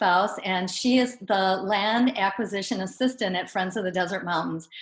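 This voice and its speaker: A woman speaks with a Wisconsin accent at a fairly quick pace. Her voice is somewhat breathy, and her intonation is lively. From Wisconsin, Madison area. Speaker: naturalist and presenter. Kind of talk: webinar Q&A.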